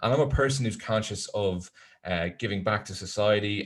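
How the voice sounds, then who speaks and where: Here a man talks in a Dublin accent. His pace is fairly quick, over a quiet background. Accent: Irish, Dublin, moderately strong. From Ireland, Dublin. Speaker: tourism software presenter. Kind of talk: webinar presentation. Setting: online webinar. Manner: hesitant, many fillers.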